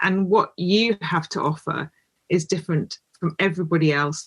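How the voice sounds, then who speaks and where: Her fairly low voice has a somewhat breathy quality. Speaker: public speaking coach. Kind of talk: interview. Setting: podcast.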